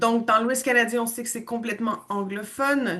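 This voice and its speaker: Her tone is bright and sharp as this woman speaks. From western Canada, Quebecois parents. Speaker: language school owner and teacher. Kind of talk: online information presentation.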